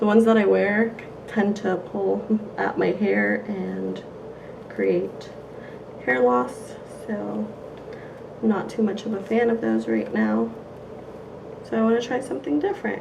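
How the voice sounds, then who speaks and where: Fairly slow speech with long, frequent pauses, audible room echo and noticeable background noise. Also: woman. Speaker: beauty vlogger. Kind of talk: casual haul video.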